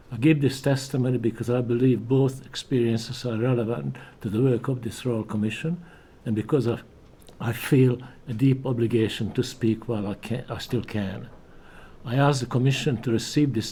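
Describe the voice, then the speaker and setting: Fairly quick and somewhat breathy, a man speaks at a medium pitch in a dark, mellow tone with fairly even intonation. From Hungary. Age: 80s+. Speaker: Holocaust survivor witness. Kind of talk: testimony. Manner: halting.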